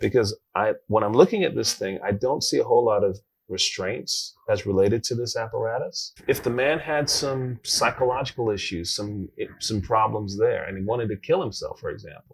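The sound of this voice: A man speaks at a moderate pace, his pitch fairly low with ordinary variation. There is vocal fry and a slightly husky edge.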